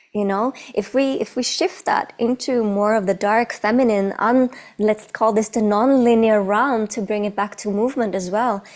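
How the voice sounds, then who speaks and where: A woman with a non-native accent speaks at a moderate pace in a fairly high voice with fairly even intonation. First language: not English. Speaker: movement artist and choreographer. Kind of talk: casual chat.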